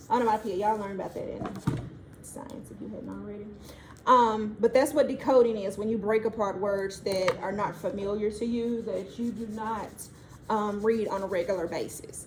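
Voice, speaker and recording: With a Southern US accent, a woman of fairly high pitch speaks at a moderate pace with fairly even intonation and big swings in loudness, amid audible room echo and noticeable background noise. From Mississippi, US South. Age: adult, older than students. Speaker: teacher. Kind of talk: classroom lesson. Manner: casual, encouraging.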